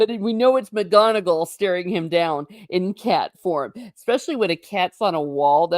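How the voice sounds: A natural reading voice carries lively intonation. The background is quiet.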